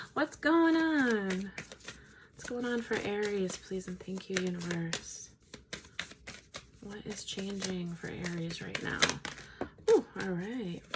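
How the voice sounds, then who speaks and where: A woman's medium-pitched voice at a very slow pace, with long, frequent pauses, lively intonation, big swings in loudness and noticeable background noise. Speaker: tarot reader. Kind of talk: tarot reading. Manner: slow, with pauses.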